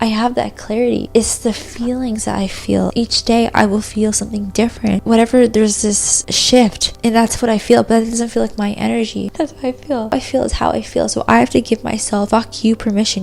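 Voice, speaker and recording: A woman speaks fairly quickly with hardly any pauses while noticeable background noise continues behind her. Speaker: spiritual content creator. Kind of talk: casual talk to camera. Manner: whispered.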